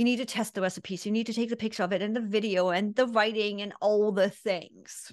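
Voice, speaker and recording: A woman's fairly quick, flat monotone with hardly any pauses against a quiet background. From East Germany. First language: German. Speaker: business consultant and mindset coach; mindset coach. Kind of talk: interview. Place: home room.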